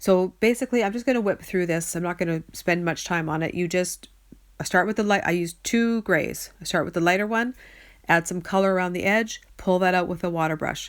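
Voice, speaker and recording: A woman with an ordinary speaking voice, medium pitch, ordinary pitch variation and a fairly quick pace. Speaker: card-making crafter. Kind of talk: tutorial. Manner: casual, chatty.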